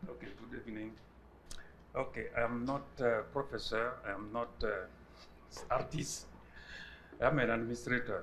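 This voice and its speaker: A man speaks at a moderate pace, his loudness swinging widely. Long, frequent pauses break up the speech, and audible room echo surrounds it. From Burkina Faso. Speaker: arts administrator. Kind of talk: lecture.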